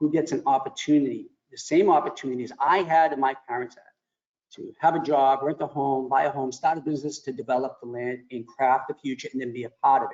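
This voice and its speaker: This man talks at a very fast pace. His pitch is fairly high and his intonation fairly even. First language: Italian. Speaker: mayor. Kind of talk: panel discussion.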